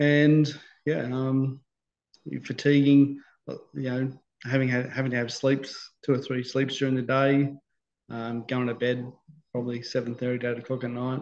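A man with an Australian accent talks at a moderate pace. He uses monotone, flat intonation and long, frequent pauses. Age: 50s. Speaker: stroke survivor. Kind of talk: interview. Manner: halting, many fillers and repetitions. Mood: calm, reflective. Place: home room. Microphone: video call.

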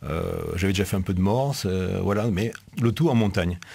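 Talking at a moderate pace, a man uses a fairly low pitch with ordinary pitch variation. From Marseille, southern France. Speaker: military delegate, army officer. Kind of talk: casual interview in radio studio. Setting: radio studio. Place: studio. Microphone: studio mic.

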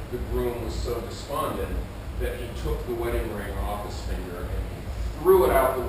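Moderate-paced speech from a man, with noticeable background noise and strong room echo. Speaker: solo storyteller performer. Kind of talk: storytelling monologue. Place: stage.

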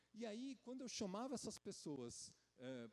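Swinging very widely in pitch, a man keeps a moderate pace. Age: 40s. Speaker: geriatrician. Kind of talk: conference talk. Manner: hesitant, many filler sounds. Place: stage. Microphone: handheld.

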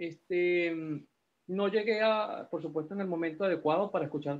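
A man talks with fairly even intonation at a moderate pace. He has a normal speaking voice. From Peru, Lima; Peru. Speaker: class participant. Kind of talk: class discussion. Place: home room. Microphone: video call.

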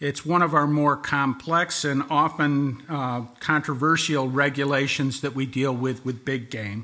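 A man at a fairly slow pace, fairly even intonation, quiet background. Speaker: presenter. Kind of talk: formal presentation of regulations. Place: hall. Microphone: podium.

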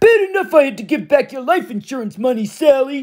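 The voice is a put-on character, pitched high. It has a growling quality. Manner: growling, angry.

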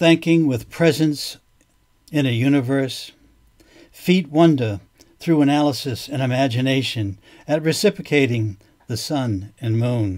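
This man talks at a fairly slow pace in a medium pitch, with ordinary pitch variation and long, frequent pauses. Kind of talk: poem reading. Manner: measured, contemplative, deliberate pacing.

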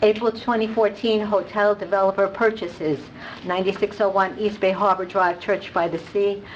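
A woman talks at a fairly slow pace with fairly even intonation. Light background noise can be heard. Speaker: resident speaking at public comment. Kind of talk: public comment. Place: hall. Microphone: podium.

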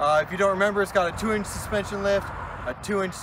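A man talks in a high voice with fairly even intonation. The sound is dry with no echo, though noticeable background noise comes through. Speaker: vehicle vlogger. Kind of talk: casual vlog chat. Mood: wistful farewell. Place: open country. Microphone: camera far.

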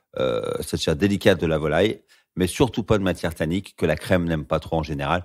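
The recording is very clean, with a silent background. A man speaks at a very deep, low pitch. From France, Lyon region. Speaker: sommelier. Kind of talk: conversational wine tutorial.

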